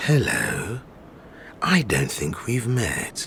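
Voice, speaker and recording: A man puts on a character voice at a medium pitch. Background noise comes through clearly. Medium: video game. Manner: terse.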